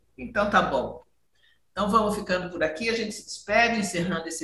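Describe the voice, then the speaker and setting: Very wide pitch swings in a woman's voice of medium pitch. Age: 60s. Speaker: podcast host. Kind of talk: casual chat.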